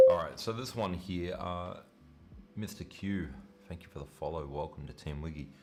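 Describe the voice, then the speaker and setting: A man with an Australian accent speaks at a moderate pace. His pitch is very deep and low. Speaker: chess streamer. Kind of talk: live stream commentary. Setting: live stream.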